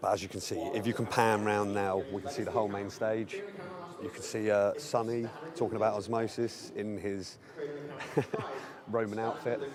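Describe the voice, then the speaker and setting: Amid noticeable background noise and audible room echo, a man with a fairly low pitch talks at a moderate pace, his intonation fairly even and broken by long, frequent pauses. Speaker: live stream host giving venue tour. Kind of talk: walking tour commentary. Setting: conference venue, walking around.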